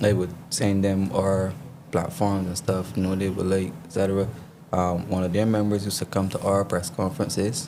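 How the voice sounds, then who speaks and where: Audible room echo and noticeable background noise surround the speaker. He is a man with a fairly low-pitched voice. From Barbados. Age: 30s. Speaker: politician. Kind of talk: interview.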